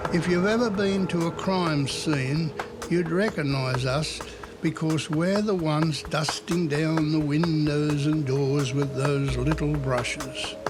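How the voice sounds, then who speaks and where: A man with an Australian accent and a fairly high pitch speaks at a very slow pace, with ordinary pitch variation and very even loudness. Music plays behind him, and the room has audible echo. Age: 80s+. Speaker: retired police fingerprint expert. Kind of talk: documentary interview.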